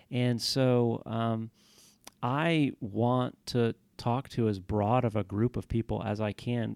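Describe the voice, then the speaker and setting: In a normal speaking voice, a man with an American accent talks at medium pitch with fairly even intonation, in a dry, close sound with no echo and a very clean recording with a silent background. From Houston, Texas. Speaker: historian. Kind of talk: interview.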